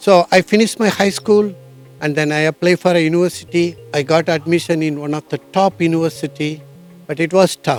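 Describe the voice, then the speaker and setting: With music in the background, a man in a Tamil Indian accent speaks at a fairly quick pace and a high pitch with ordinary pitch variation, the sound dry and close with no echo. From southern India, Tamil Nadu. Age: 50s. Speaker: traveller, engineer, motorcyclist. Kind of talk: interview, life story.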